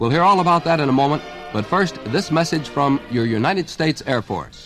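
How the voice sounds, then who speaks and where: Over music in the background, a man with a fairly high pitch speaks at a fairly quick pace with ordinary pitch variation. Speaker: sports radio host. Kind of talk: radio sports show hosting.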